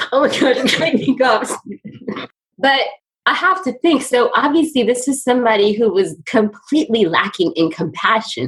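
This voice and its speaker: A woman with an American accent, high-pitched with very wide pitch swings, at a moderate pace and very even loudness. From New York City, USA. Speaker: ophthalmologist. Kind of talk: interview conversation. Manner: animated.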